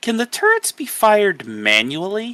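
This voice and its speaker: Using a put-on character voice, a man speaks at a moderate pace in a high pitch, recorded dry and close with no echo. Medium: actual play.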